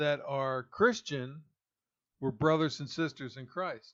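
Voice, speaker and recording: With an American accent, this unremarkable speaking voice moves at a fairly slow pace with ordinary pitch variation over a quiet background. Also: man. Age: 60s. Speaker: pastor and political podcaster. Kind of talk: political commentary monologue.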